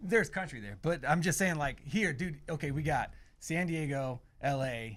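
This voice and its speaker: With a slight Southern US accent, a man speaks at a fairly high pitch. His pace is moderate and his intonation lively. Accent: slight Southern twang. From Ohio. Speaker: band member. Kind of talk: casual chat.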